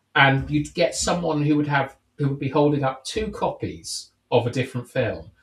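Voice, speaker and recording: A man speaks at a fairly quick pace with a fairly high pitch. His voice is somewhat breathy. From England, countryside. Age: 30s. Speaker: podcast host. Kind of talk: casual chat. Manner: halting.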